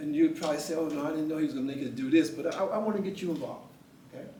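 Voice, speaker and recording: A man speaks at a fairly high pitch. Audible room echo and noticeable background noise are present. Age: 70s. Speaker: poetry event host and retired teacher. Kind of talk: motivational talk to a small live audience. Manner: halting, many repeated words; animated.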